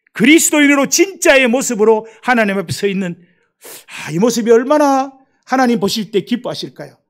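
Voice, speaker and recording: A man's extremely high-pitched voice with lively intonation, on a very clean recording with a silent background. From Gyeongsang Province, South Korea. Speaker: missionary. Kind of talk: sermon.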